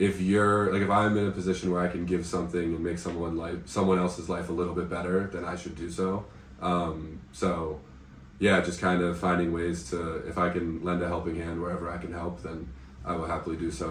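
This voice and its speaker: A man's very deep, low, somewhat breathy voice with an American accent, flat and monotone at a moderate pace, in audible room echo. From United States. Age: 20s. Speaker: English teacher and volunteer. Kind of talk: casual interview. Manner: hesitant, many fillers.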